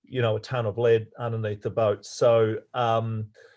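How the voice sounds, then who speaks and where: A man with an Australian accent talks at medium pitch. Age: old. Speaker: sailing coach. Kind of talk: lecture. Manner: halting.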